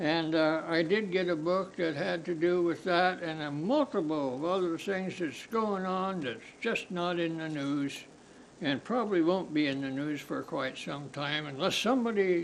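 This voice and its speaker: Audible room echo surrounds a man speaking at a fairly slow pace. His voice is high, with ordinary pitch variation. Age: 80s+. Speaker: podcast host. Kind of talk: casual monologue. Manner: halting.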